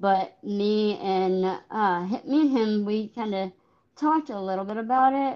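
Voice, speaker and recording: A woman's fairly high, fairly slow delivery in a plain, everyday voice, with ordinary pitch variation. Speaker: podcast host. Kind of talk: interview.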